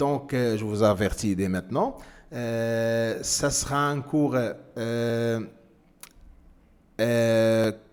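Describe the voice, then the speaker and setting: A man with a non-native accent talks at a very slow pace, with long, frequent pauses. His pitch is medium and his intonation fairly even. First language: not French (speaking French). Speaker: trading instructor. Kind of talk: tutorial. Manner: halting, many hesitations.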